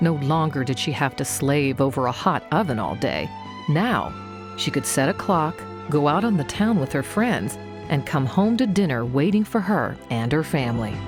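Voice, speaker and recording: A woman's very deep, low pitch with very wide pitch swings, at a moderate pace and very even loudness, with music in the background. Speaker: narrator. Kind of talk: documentary narration.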